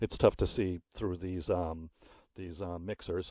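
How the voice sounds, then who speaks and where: A man speaks at a moderate pace in a dark, mellow tone, with dry, close sound, no echo, and a very clean recording over a silent background. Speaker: sound engineer. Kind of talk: tutorial. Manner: casual, with fillers.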